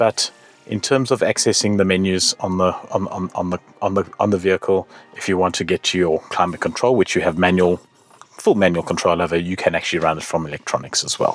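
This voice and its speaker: Against noticeable background noise, a man talks fairly quickly at a very deep, low pitch. The sound is dry and close, without echo. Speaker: motoring show host. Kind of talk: car review. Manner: fast; animated.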